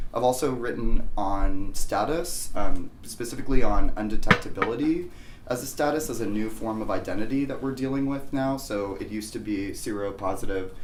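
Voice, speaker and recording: Hardly pausing, a man talks at a fairly quick pace and medium pitch with ordinary pitch variation and big swings in loudness, against noticeable background noise and audible room echo. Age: 30s. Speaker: moderator and art historian. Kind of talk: panel discussion. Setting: living room with audience. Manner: halting.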